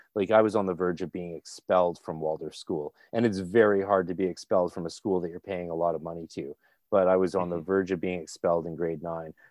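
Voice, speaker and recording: A man with a Canadian accent talks at a very fast pace in a very deep, low voice, his intonation fairly even and his speech hardly broken by pauses. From Canada. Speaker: occult practitioner and podcaster. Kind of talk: casual chat.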